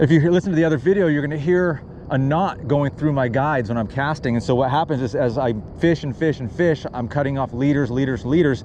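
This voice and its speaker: Against noticeable background noise, a man with a fairly high pitch talks at a fairly quick pace with ordinary pitch variation. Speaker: fishing vlogger. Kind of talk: outdoor fishing vlog, casual talk-along. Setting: outdoors, on a paddle board on a lake. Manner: casual, stammering at times; fast.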